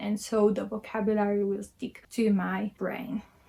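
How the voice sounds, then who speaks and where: This woman talks at a fairly high pitch in a Filipino accent. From Philippines. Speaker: language learner vlogger. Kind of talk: casual tutorial vlog. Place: home room. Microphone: phone near.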